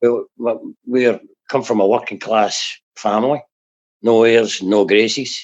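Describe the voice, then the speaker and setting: In a Glaswegian accent, a man speaks at a medium pitch and a fairly slow pace. His intonation is monotone and flat, his loudness very even. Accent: Glaswegian Scottish. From Scotland, south of Glasgow. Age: 60s. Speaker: recovering addict, former jockey and racehorse trainer. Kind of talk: personal testimony interview. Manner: halting, frequent fillers and repetitions.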